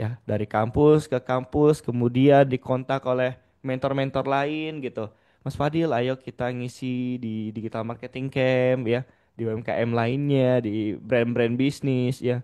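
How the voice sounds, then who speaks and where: A man talks at a fairly slow pace in a medium pitch, his tone dark and mellow. His intonation stays monotone and flat against a quiet background. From Padang, West Sumatra, Indonesia. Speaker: digital marketing trainer. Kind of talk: webinar presentation. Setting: Zoom video call. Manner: casual, interactive.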